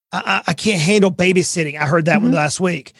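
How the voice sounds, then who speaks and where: Talking at a fairly quick pace with a Southern US accent, this man has a high pitch and ordinary pitch variation, captured in a very clean recording with a silent background. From US South, coastal Georgia. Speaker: financial advisor and author. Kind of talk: podcast interview.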